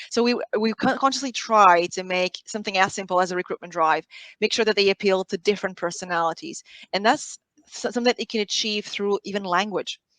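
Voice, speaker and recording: Speaking at a very fast pace, a woman with a Portuguese accent uses a medium pitch and ordinary pitch variation. The sound is dry and close, with no echo. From Portugal. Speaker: sales team leader. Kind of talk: panel discussion. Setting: live online stream.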